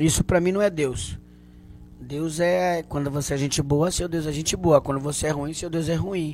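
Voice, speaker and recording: At a moderate pace, a man speaks with fairly even intonation. His pitch is fairly high. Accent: Bahian. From Bahia, Canavieiras. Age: 40s. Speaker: comedian. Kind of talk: casual chat.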